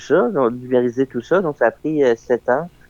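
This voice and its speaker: A man at medium pitch, fairly even in intonation and fairly slow in pace, with a dry, close sound and no echo. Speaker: documentary filmmaker. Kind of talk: radio interview. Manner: casual, halting.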